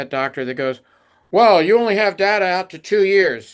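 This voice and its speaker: In a quiet background, a man speaks at a moderate pace with ordinary pitch variation. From US, Baltimore. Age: 60s. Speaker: medical device company executive. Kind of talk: podcast interview. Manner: halting, many fillers.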